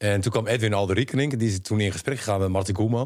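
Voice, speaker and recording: At a very fast pace, a man speaks with a fairly low pitch. His intonation is lively. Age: 50s. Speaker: podcast co-host. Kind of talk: casual chat.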